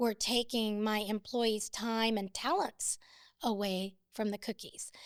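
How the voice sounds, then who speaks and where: Pitched fairly high, a woman speaks at a fairly slow pace in a plain, everyday voice. The recording is very clean, with a silent background. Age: 60s. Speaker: business owner. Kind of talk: interview.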